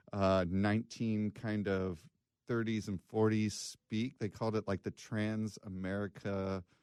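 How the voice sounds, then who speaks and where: A man speaks at a fairly low pitch with flat, monotone intonation. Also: fairly slow pace. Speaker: podcast co-host. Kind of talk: casual chat. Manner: says 'like' a lot.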